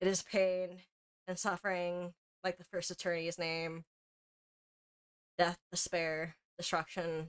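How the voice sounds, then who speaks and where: The sound is close and dry, without any echo. The speaker is a woman. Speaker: gaming streamer. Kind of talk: live game stream commentary. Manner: slurred, rambling.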